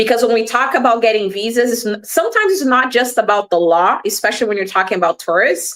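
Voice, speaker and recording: With a Portuguese accent, a woman speaks at a very fast pace in a fairly high pitch, with hardly any pauses. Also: ordinary pitch variation. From Brazil (Rio de Janeiro). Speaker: immigration lawyer. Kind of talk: panel discussion on live stream. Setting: online live stream.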